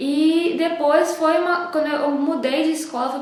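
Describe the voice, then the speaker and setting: With audible room echo and noticeable background noise, a woman speaks. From Brazil, Juiz de Fora, Minas Gerais. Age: 20s. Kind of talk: testimony. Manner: halting.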